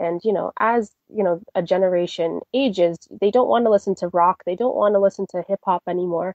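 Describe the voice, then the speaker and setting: In a Canadian accent, the speaker uses an unremarkable speaking voice with ordinary pitch variation. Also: woman, medium pitch for a woman, fairly quick pace. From Toronto, Canada. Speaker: classical crossover soprano. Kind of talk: interview answer.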